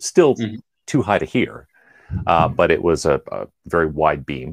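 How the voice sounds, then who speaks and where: With a Canadian accent, this man talks in a very deep, low voice with vocal fry and lively intonation, recorded with a dry, close sound and no echo. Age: 40s. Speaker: engineer. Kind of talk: casual chat.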